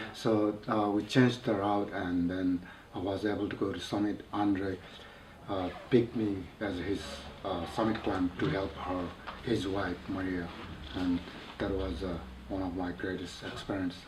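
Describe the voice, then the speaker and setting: With a very deep, low pitch and fairly even intonation, a man talks at a moderate pace with long, frequent pauses, amid audible room echo and noticeable background noise. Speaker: mountaineer. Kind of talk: interview. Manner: halting.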